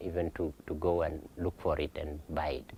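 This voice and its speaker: A man with a South Sudanese accent speaks in a very deep, low pitch, somewhat breathy and with monotone, flat intonation. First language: Dinka. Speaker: pastor. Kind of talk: Q&A talk. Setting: lunch event with audience. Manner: halting.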